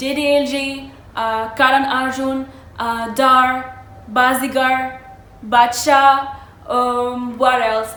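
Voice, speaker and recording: High in pitch, a woman with an Arabic accent speaks amid audible room echo. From Morocco. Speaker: vlogger. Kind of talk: casual storytelling vlog.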